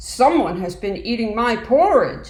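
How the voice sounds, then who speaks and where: A woman's growling, put-on character voice at a fairly high pitch. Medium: read story. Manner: gruff.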